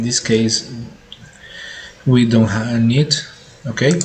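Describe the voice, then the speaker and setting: Medium-pitched male voice with audible room echo and noticeable background noise. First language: Spanish. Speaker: tech tutorial youtuber. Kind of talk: tutorial. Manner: halting, many fillers.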